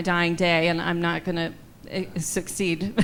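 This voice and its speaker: A woman with a normal speaking voice and an American accent talks at a moderate pace in a fairly low pitch. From US Midwest. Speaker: Broadway singer and actress. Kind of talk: audience Q&A. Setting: gala event with audience.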